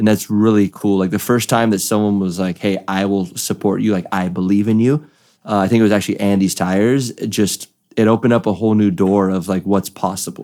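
A man with a dark, mellow tone talks at a fairly quick pace in a fairly low voice. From California. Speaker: professional drift driver. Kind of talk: casual chat.

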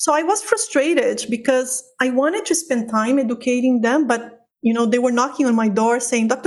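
Speaking with a Portuguese accent, a woman uses a high pitch, ordinary pitch variation and a moderate pace. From Brazil, Sao Paulo. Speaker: physician and pain researcher. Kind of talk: interview. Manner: loud.

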